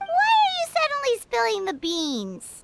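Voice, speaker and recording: At a moderate pace, a squeaky put-on character voice at an extremely high pitch leaps through very wide pitch swings. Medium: video game.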